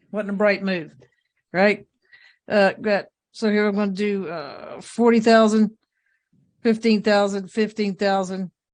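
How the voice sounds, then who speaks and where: Against a quiet background, a man in a Southern US accent talks at a fairly slow pace with long, frequent pauses, his high pitch held in a monotone, flat intonation. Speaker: judge. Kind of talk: court hearing. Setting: courtroom.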